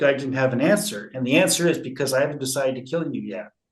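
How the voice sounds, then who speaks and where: The delivery is very fast. There is a somewhat breathy quality throughout. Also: man. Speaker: conflict resolution expert, former teacher. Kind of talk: interview.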